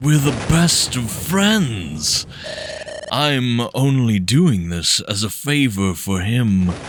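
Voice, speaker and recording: Doing a put-on character voice, a man speaks very slowly at a medium pitch over clear background noise. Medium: game stream.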